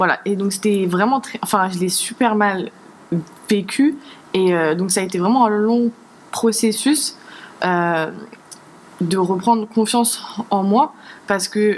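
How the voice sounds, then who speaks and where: A woman with a medium pitch and ordinary pitch variation talks at a very slow pace, leaving long, frequent pauses. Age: 20s. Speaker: church youth volunteer. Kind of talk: testimony. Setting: studio. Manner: halting.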